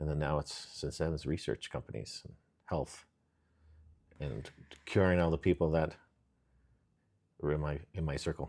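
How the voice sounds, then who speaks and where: A man's very deep, low voice with vocal fry, fairly even intonation, a moderate pace and long, frequent pauses. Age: 50s. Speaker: entrepreneur, former welder. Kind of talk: casual chat. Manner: halting.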